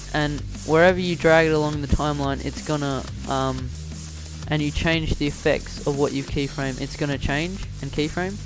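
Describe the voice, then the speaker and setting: A man's moderately paced speech comes with music in the background. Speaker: video editing tutorial maker. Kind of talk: software tutorial narration. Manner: stuttering, hesitant with many fillers.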